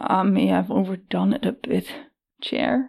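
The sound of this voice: A croaky, hoarse, put-on character voice at a fairly slow pace.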